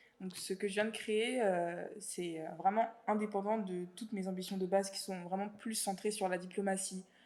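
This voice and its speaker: A woman at a medium pitch with monotone, flat intonation. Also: moderate pace. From France, Paris suburbs (Val-de-Marne). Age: 20s. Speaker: student and association founder. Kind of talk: interview testimony. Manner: casual, many fillers.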